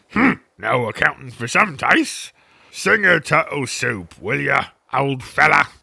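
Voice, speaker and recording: A man's put-on character voice, fairly high in pitch. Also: fairly slow pace. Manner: offended, brusque.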